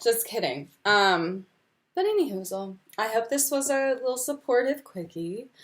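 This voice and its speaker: This woman has an American accent and a fairly high pitch. She speaks fairly slowly, her pitch swinging very widely. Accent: Texan accent slips through at times. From Texas. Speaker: tarot reader. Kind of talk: casual tutorial video. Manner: casual, with frequent 'um' fillers.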